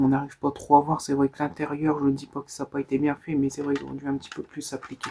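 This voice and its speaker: Soft-spoken and dark, mellow in tone, a man speaks at a fairly high pitch in a monotone, flat intonation. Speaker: ASMR creator. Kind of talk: ASMR show-and-tell of collection.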